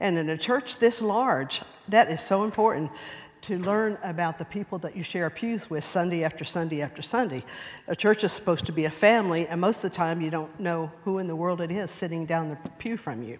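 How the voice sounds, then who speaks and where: A woman speaks at a fairly quick pace in a fairly low voice, her intonation lively. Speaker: church member speaker. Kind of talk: personal testimony talk. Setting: church class.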